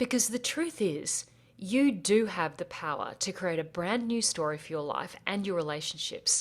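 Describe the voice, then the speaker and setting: With an Australian accent, the speaker moves at a moderate pace. The pitch swings very widely. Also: woman, medium pitch for a woman, very clean recording, silent background. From Australia, rural bush. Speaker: podcast host, life coach. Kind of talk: podcast intro monologue.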